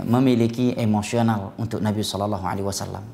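A man's fairly low-pitched voice with a dark, mellow tone and monotone, flat intonation. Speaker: Islamic preacher teaching prophetic biography. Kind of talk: religious lecture. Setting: live-streamed study session. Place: studio. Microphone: lapel.

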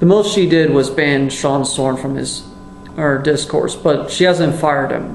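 A man speaks at a fairly high pitch and a fairly slow pace with fairly even intonation. Audible room echo and light background noise come through. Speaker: YouTube commentator. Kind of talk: angry profanity-laced rant denouncing a fellow YouTuber. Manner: furious, disgusted outbursts with heavy swearing; halting, repeats words and restarts sentences. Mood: angry, exasperated. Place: kitchen. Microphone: webcam.

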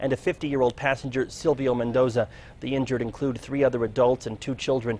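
A man speaks at a fairly high pitch. The sound is dry, with no echo. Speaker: news anchor. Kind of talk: studio news reading, brisk and polished broadcast delivery. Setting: studio. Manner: formal; even-paced and authoritative. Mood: serious neutral news tone. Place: studio. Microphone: lapel.

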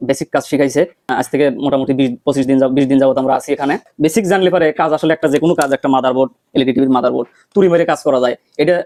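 With very even loudness, a man speaks at a fairly high pitch in a dark, mellow tone, the sound dry and close with no echo. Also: fairly even intonation. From Bangladesh, Pabna district. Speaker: TV repair technician and trainee. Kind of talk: testimony.

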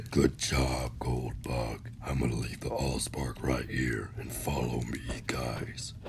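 Loud background noise sits behind a man doing a put-on character voice. He speaks at a fairly slow pace. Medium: audio drama. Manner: smug, then shocked.

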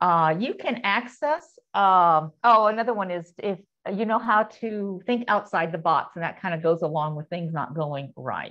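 Over a quiet background, a woman speaks at a moderate pace with lively intonation and hardly any pauses. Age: 60s. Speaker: travel blogger and author; travel blogger. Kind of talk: Q&A answers; presentation. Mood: warm, enthusiastic storytelling. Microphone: video call.

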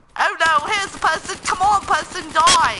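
A woman is talking. Noticeable background noise can be heard behind her. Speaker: gamer streamer. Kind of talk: live gameplay commentary. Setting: live stream. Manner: animated.

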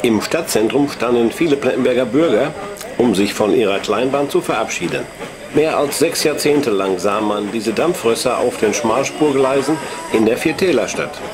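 A man with an ordinary speaking voice talks at a medium pitch and moderate pace, with ordinary pitch variation and very even loudness. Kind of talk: 1960s documentary film narration, scripted and read aloud. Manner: measured, formal, even-paced newsreel tone; dry, authoritative, clearly enunciated.

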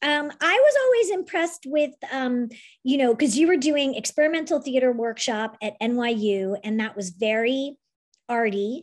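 Against a quiet background, a woman with a high pitch speaks with lively intonation. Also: moderate pace. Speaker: interview show host. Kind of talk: casual chat. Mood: warm, friendly, smiling.

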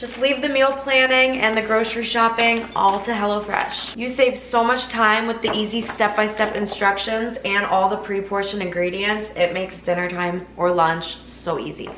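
A woman talks with hardly any pauses. Audible room echo and light background noise surround her voice. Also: ordinary pitch variation, moderate pace. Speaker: lifestyle vlogger. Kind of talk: sponsored ad read in casual vlog style. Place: kitchen.

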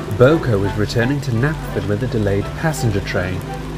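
The clip presents a natural reading voice.

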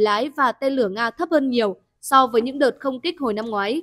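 The woman's pitch is high. The sound is dry and close, with no echo. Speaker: news presenter. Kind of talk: news reading.

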